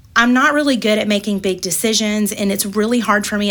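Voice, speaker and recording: A woman talks at a medium pitch with ordinary pitch variation. Noticeable background noise can be heard. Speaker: church ministry volunteer. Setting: studio.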